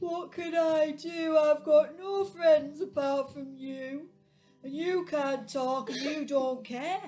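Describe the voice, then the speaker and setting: Over faint music in the background, a woman puts on a high-pitched character voice and speaks at a very slow pace. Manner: whimpering, tearful.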